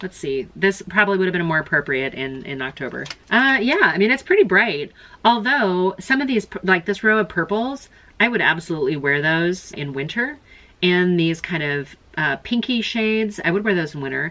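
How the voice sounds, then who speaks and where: A woman at a moderate pace, with very wide pitch swings. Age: middle-aged. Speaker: beauty YouTuber. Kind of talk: casual product review unboxing. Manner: casual, halting with repeated words. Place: home room. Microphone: phone near.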